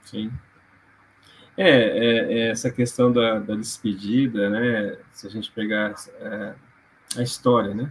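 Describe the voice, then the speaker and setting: With big swings in loudness, a man at a medium pitch speaks very slowly and fairly evenly, leaving long, frequent pauses. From Londrina, Paraná, Brazil. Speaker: physiotherapist and postgraduate lecturer. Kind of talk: casual interview on emotional origin of symptoms. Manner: hesitant, many fillers.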